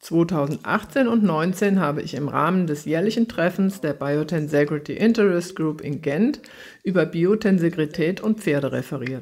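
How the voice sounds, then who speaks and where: A woman with a fairly low voice and lively intonation talks at a moderate pace. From Germany. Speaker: horse trainer and author giving a talk; lecturer. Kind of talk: lecture; recorded lecture. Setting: online event. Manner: formal. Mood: calm, earnest.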